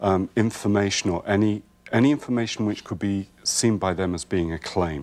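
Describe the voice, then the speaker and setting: A man's fairly low voice with an American accent. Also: ordinary pitch variation, moderate pace. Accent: Welsh-British accent noticed in US. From Wales. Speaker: herbalist. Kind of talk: TV talk show interview. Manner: hesitant, many ums.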